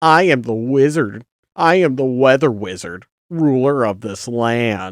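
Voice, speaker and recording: In a put-on character voice, the speaker talks fairly slowly at a low-to-middle pitch. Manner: unimpressed.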